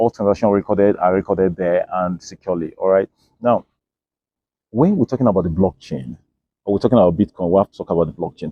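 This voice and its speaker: A man with a very deep, low voice, talking at a very fast pace with ordinary pitch variation. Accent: African. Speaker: crypto educator. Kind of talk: educational explainer. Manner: repetitive fillers (okay, all right).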